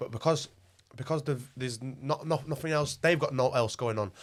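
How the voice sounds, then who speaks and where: A man's fairly high voice in a Yorkshire accent, very fast, with fairly even intonation. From northern England, Wakefield, West Yorkshire. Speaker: rapper and club owner. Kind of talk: casual chat.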